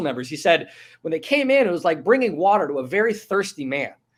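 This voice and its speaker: A man's high-pitched voice with an American accent, very fast and lively in intonation, in a very clean recording with a silent background. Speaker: investigative journalist and author. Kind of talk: interview. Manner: repeats words often.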